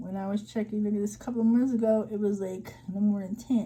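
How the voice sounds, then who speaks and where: Here is a plain, everyday voice from a woman at a medium pitch. She speaks at a moderate pace. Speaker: vlogger giving job-search tips. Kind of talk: screen-share tutorial. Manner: casual, many fillers.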